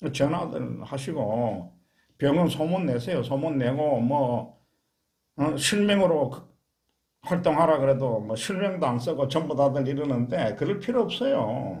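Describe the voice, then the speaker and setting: Speaking in a Gyeongsang accent, a man uses a fairly high pitch with vocal fry and lively intonation at a fairly slow pace. There is audible room echo. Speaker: cancer support lay counselor and channel host. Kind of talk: interview conversation. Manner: forceful.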